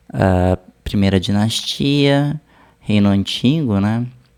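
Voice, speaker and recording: A man speaks with a Brazilian accent. His pitch is fairly low and his pace is very slow. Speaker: art history teacher reacting to video. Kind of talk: casual video commentary.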